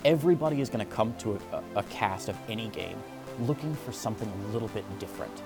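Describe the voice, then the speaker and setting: Music plays in the background as the speaker talks at a very fast pace with lively intonation. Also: man. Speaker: esports commentator. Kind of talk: interview answer.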